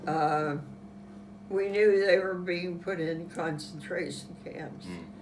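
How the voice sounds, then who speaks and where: Noticeable background noise sits behind a woman with a Western Pennsylvania accent. Her fairly low pitch shows ordinary variation as she speaks at a very slow pace. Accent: Western Pennsylvania American. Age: 80s+. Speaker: World War Two era witness. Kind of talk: interview answer.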